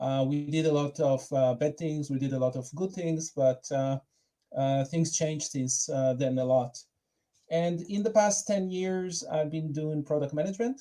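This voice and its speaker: A man with a dark, mellow tone and a fairly high pitch speaks at a moderate pace with ordinary pitch variation. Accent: Israeli. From Israel. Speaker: product manager. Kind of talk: conference talk. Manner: hesitant, many fillers.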